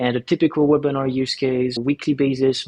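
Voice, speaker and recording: With a French accent, a man speaks at a moderate pace and medium pitch, his intonation monotone and flat. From France. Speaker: startup co-founder and CEO. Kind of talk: podcast interview.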